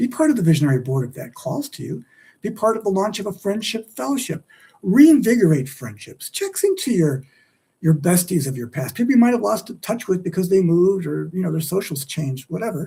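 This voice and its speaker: This man has a high pitch and a dark, mellow tone. He talks at a fairly quick pace with very wide pitch swings. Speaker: livestream host and author. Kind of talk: solo livestream monologue. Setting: live stream. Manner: fast; animated.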